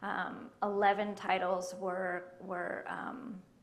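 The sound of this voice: A woman speaks slowly at a medium pitch, with little pitch movement. Room echo is audible around her.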